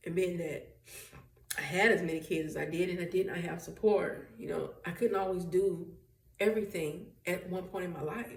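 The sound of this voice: At a moderate pace, a woman speaks in a fairly low voice with vocal fry and fairly even intonation. Strong room echo fills the recording.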